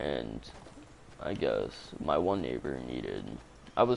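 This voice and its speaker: A man speaks quietly. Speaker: gaming livestreamer telling stories. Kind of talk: casual storytelling on a livestream. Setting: home livestream broadcast. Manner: kept low, quiet.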